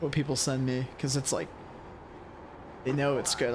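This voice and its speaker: With a monotone, flat delivery, a man speaks at a moderate pace and a fairly high pitch. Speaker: sim racing streamer. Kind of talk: live commentary.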